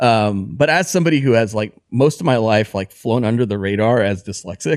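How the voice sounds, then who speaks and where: Lively intonation marks this man's medium-pitched voice as he talks at a fairly quick pace. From Texas (Abilene), moved from Honduras at five. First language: Spanish. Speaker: designer. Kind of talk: casual chat. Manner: casual, many fillers and restarts.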